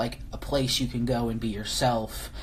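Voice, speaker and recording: Her pitch very deep and low, a woman speaks at a moderate pace with audible room echo. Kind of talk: live-stream viewer Q&A. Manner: halting, many fillers and restarts.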